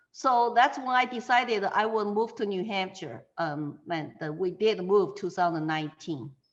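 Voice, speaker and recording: This woman talks at a moderate pace with hardly any pauses, using lively intonation and a medium pitch, in a Chinese accent. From China. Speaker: political candidate, interviewee. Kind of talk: interview conversation. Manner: halting, many fillers.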